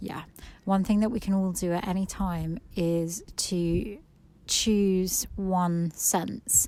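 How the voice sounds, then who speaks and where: Audible room echo follows a woman who talks at a very slow pace. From England, Suffolk. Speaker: nature podcast host. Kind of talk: walking meditation monologue. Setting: outdoors on a walk. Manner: quiet and slow; hesitant, many fillers.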